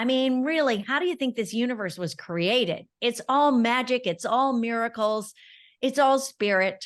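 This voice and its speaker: Over a quiet background, a woman with a high voice talks at a moderate pace with lively intonation. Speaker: podcast host. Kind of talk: podcast interview.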